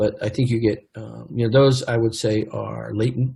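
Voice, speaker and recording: Somewhat breathy, a man speaks at a fairly quick pace in a dark, mellow tone, with a medium pitch and monotone, flat intonation. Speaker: tech executive and conference speaker. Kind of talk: conference presentation. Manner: fast; halting, many fillers.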